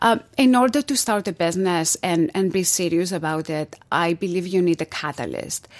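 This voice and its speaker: A woman speaks in a Greek accent with fairly low pitch and lively intonation, at a moderate pace with hardly any pauses. The recording is very clean, with a silent background. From Greece. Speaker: entrepreneur. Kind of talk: interview.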